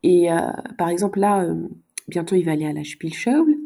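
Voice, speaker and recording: The recording is very clean, its background silent. A woman's voice carries a dark, mellow tone. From Luxembourg. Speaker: mother with psychology background. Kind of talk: casual discussion. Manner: halting, many hesitations.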